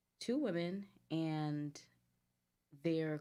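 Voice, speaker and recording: With a Guyanese accent, a woman speaks in a very deep, low voice with a dark, mellow tone and ordinary pitch variation. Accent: noticeable Caribbean (Guyanese). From US, New Jersey area, Guyanese family. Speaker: boutique owner, entrepreneur. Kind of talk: casual chat.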